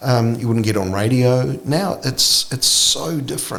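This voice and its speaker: A man with a New Zealand accent at a fairly slow pace, amid noticeable background noise and audible room echo. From New Zealand, Auckland (Glendowie). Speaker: singer-songwriter. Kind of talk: casual chat. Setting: studio.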